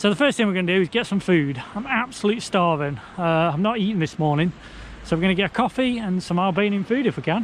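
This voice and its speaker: Very fast and lively in intonation, a man speaks in a high voice with an English accent. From England. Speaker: travel vlogger. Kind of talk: travel vlog. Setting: outdoors on beach. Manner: casual, conversational.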